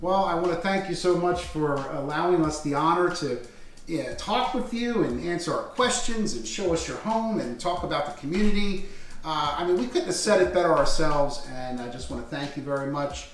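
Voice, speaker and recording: With lively intonation and a high pitch, a man talks at a fairly quick pace amid light background noise and audible room echo. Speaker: interview host. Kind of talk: casual interview chat. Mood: warm, grateful, smiling. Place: home room. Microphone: camera far.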